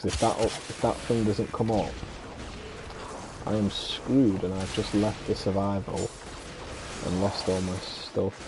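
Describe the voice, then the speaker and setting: There is noticeable background noise as a man speaks with a British accent. His pitch is fairly low and his intonation fairly even. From UK. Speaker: video game streamer. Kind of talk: casual chat. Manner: casual, with fillers.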